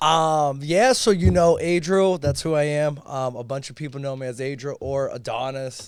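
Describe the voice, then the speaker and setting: Someone with a Boston accent speaks at a moderate pace with ordinary pitch variation on a very clean recording with a silent background. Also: man, fairly high pitch for a man. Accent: Boston-area American English. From Chelsea, Massachusetts (Boston area). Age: 20s. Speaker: entrepreneur in sales and investing. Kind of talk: casual podcast interview.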